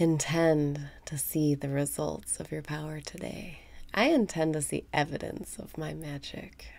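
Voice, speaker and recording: A woman speaks at a fairly slow pace in a calm tone. Her loudness swings widely. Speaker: meditation guide. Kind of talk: guided meditation. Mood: warm and cheerful. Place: home room.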